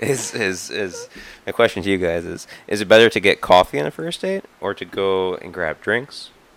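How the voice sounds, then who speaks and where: This man's voice sits at a very deep, low pitch with ordinary pitch variation. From Wisconsin. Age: young. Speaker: podcast co-host.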